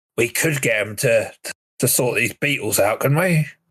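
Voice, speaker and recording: Putting on a raspy character voice, a man talks at a moderate pace in a fairly high pitch. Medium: actual play. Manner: slow, easily impressed.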